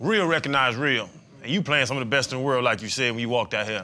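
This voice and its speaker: Here a man talks at a very fast pace with ordinary pitch variation. His tone is bright and sharp. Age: middle-aged. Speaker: podcast co-host, former NFL player. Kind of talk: casual chat.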